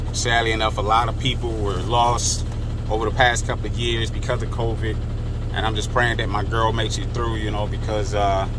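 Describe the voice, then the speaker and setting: Noticeable background noise runs under a man's voice, though the sound is dry with no echo. He speaks at a moderate pace. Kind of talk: casual vlog chat. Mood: concerned, earnest. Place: car. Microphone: phone near.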